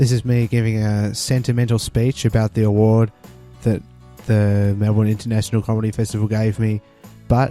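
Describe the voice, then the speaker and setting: Over music in the background, someone speaks in an Australian accent at a moderate pace with monotone, flat intonation. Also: man. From Tasmania, Australia. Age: 20s. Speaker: stand-up comedian. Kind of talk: casual talk to camera.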